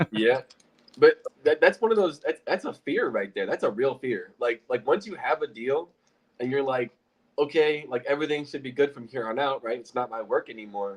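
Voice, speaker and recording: This man has an American accent and an unremarkable speaking voice, pitched fairly high for a man. His intonation is lively, his loudness swings widely, and his pace is moderate. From Illinois. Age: 20s. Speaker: real estate investor. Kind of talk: casual chat.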